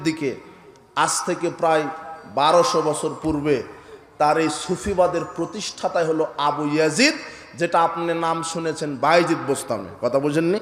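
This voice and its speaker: A man's passionate voice amid noticeable background noise. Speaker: Islamic preacher. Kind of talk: Islamic sermon (waz) delivered to a live audience. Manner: fiery, passionate, rhetorical.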